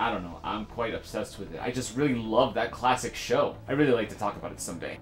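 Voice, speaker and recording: Noticeable background noise runs behind a man who talks at a very fast pace. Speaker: gamer vlogger and streamer. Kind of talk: casual vlog update. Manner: halting, searches for words.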